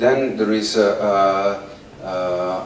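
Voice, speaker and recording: In an Italian accent, a man speaks with fairly even intonation. Noticeable background noise and audible room echo surround him. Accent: Italian, mispronounces th. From Italy. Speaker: performance artist. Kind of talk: public talk to audience. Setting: outdoors in the sun. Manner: halting, many fillers.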